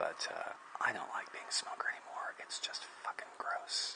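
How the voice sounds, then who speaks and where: There is noticeable background noise. Through it, a man speaks in a whisper. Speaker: leather craftsman. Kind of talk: casual work vlog commentary. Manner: halting, many fillers.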